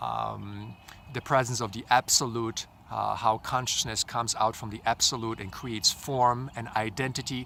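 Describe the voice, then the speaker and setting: This man has a medium pitch and a bright, sharp tone. His intonation is monotone and flat. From Poland. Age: 40s. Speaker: life coach. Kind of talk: vlog monologue. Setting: outdoors.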